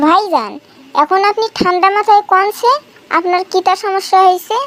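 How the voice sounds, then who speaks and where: A squeaky put-on character voice from a woman at an extremely high pitch, moderate pace and ordinary pitch variation, dry and close with no echo. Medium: cartoon. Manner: chatty, self-assured.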